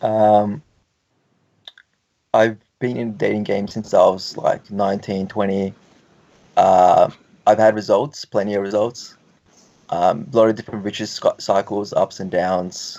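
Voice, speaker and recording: Speaking at a fairly slow pace with long, frequent pauses, a man with an Australian accent has a dark, mellow tone, a fairly low pitch and fairly even intonation. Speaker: guest on dating talk show. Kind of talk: casual chat.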